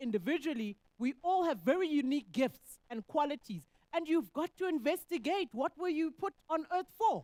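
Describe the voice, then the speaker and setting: The voice is loud and moves at a moderate pace. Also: woman, dry, close sound with no echo. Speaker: economist. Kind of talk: panel discussion answer.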